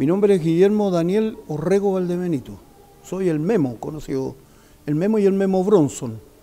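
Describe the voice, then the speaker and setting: Lively intonation from a man with a high pitch, over noticeable background noise. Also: moderate pace. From Chile, Santiago. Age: 70s. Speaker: community member recounting history. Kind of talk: testimony. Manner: halting.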